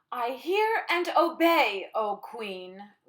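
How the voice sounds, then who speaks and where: This is a put-on character voice with a growl. Its pitch swings up and down very widely. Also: woman, high pitch for a woman. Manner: growling, obedient.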